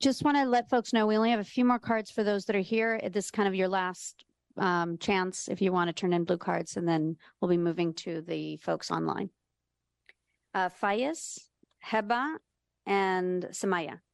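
A woman with medium pitch speaks at a moderate pace with ordinary pitch variation, in a normal speaking voice. The quiet background gives a dry, close sound with no echo. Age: 50s. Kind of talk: public meeting chairing.

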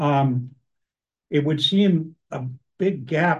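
The man's voice is somewhat breathy. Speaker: citizens oversight committee member. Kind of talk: committee meeting discussion. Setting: hybrid public meeting room.

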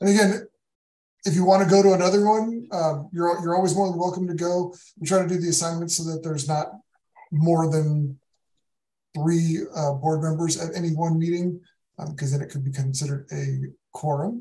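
Despite a fairly quick pace, a man with a high pitch and a dark, mellow tone takes long, frequent pauses, his intonation fairly even. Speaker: city parks deputy director. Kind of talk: public meeting. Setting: video call.

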